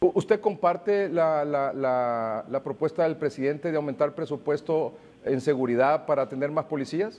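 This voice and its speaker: This man has a plain, everyday voice, a fairly high pitch, ordinary pitch variation, and a moderate pace. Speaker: news anchor. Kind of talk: news reading.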